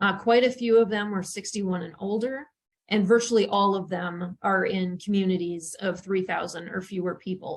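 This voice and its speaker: A woman with a North Dakota accent sounds somewhat breathy. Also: medium pitch for a woman, fairly even intonation, moderate pace. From western North Dakota. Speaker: journalism professor. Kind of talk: webinar presentation.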